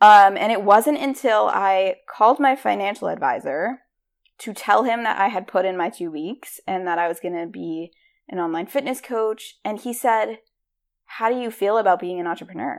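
On a very clean recording with a silent background, a woman with an American accent speaks at a moderate pace and medium pitch, her intonation lively. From US Northeast, Rhode Island. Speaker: podcast host, career coach. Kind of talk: motivational monologue. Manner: animated.

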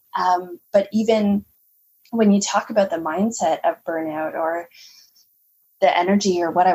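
A woman with a Canadian accent speaks at a fairly slow pace and medium pitch. Her voice is somewhat breathy, with ordinary pitch variation. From Canada. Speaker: holistic nutritionist. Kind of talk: interview conversation.

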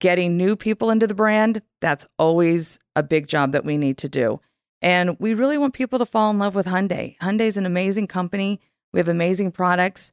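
An unremarkable speaking voice belongs to a woman with a medium pitch and lively intonation, talking at a fairly quick pace. The sound is dry and close with no echo, on a very clean recording with a silent background. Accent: American. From California. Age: 50s. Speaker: marketing executive. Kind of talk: interview conversation. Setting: in person.

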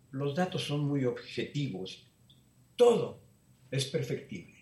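Speaking fairly slowly with lively intonation, a man's voice carries audible room echo. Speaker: Jesuit priest. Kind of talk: interview.

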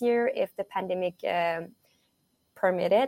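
In a very clean recording with a silent background and a dry, close sound with no echo, a woman with a Quebec accent speaks at a medium pitch. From Quebec, Montreal. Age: 20s. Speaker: college triathlete. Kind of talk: interview.

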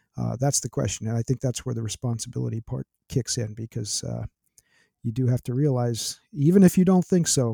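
Somewhat breathy and dark, mellow in tone, the voice moves at a fairly quick pace in a very clean recording with a silent background, dry and close with no echo. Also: man. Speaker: speaker and karate expert. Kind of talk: casual interview conversation.

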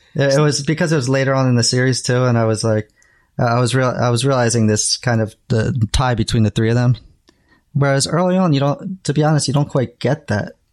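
A normal speaking voice from a man at a fairly quick pace, ordinary pitch variation and very even loudness. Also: medium pitch for a man, very clean recording, silent background. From New Jersey, US. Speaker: graphic designer, new Star Trek viewer. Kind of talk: casual chat.

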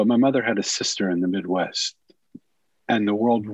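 The sound is dry and close, with no echo. It is a plain, everyday voice with fairly even intonation. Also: man. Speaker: author and former monk. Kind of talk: interview.

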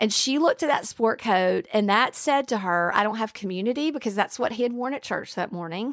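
The speaker has a Southern US accent and an animated tone with ordinary pitch variation, in a dry, close sound with no echo on a very clean recording with a silent background. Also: woman. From Alabama. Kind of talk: testimony.

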